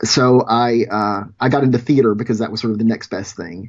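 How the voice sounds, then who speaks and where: A man speaks at medium pitch with an American accent and a fairly quick pace. His pitch varies in an ordinary way, with music playing in the background. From US South, rural Louisiana. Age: 40s. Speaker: short film producer. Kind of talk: casual interview storytelling. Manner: hesitant, with fillers.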